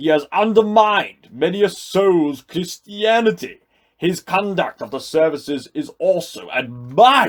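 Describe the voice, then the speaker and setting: A man performs a put-on character voice, pitched high. He moves at a moderate pace. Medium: read story.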